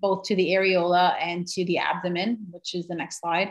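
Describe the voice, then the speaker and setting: Over a quiet background, a woman speaks at a moderate pace with an American accent. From New York. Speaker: physician assistant; presenter. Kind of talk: presentation. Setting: video call. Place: home room. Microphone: video call.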